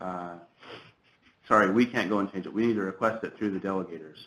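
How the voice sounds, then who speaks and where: Speaking in an unremarkable speaking voice, this man keeps his pitch fairly low and his intonation fairly even. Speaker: government trainer. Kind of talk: software tutorial.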